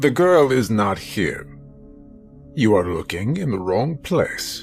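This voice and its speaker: A put-on character voice speaks in a calm tone at a fairly slow pace, its pitch swinging very widely. Clear music plays in the background. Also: man, medium pitch for a man. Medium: read story. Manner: calm, unhurried, controlled.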